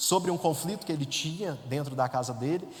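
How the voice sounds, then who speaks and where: A man speaks in a rural Minas Gerais accent. Noticeable background noise sits behind him. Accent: Minas Gerais interior accent, noticeable. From interior of Minas Gerais, Brazil. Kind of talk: testimony. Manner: conversational, many fillers.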